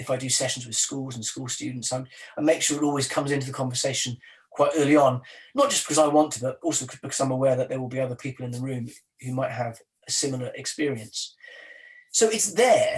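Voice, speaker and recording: This man talks at a very fast pace with a Welsh accent. His medium-pitched voice is somewhat breathy, with fairly even intonation. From South Wales. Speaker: poet. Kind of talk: interview. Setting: video call.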